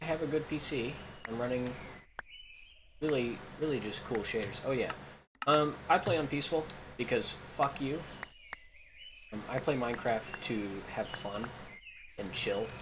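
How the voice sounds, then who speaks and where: Speaking at a moderate pace with long, frequent pauses, a man with an American accent uses a medium pitch and ordinary pitch variation over noticeable background noise. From Kansas. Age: 20s. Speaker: gaming YouTuber. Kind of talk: casual gameplay commentary. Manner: halting, many filler ums; chatty.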